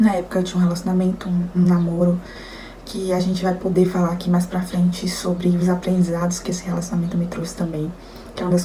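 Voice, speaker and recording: Fairly low-pitched and flat in a monotone, a woman talks at a very fast pace. Room echo is audible, and background noise is noticeable. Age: 20s. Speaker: nutritionist sharing illness story. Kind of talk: testimony. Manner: casual, conversational.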